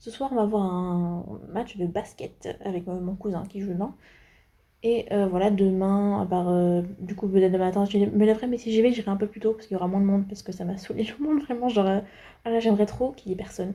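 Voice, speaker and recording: A woman's medium-pitched voice, an ordinary speaking voice, with fairly even intonation. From France. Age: 20s. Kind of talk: casual vlog talk to camera.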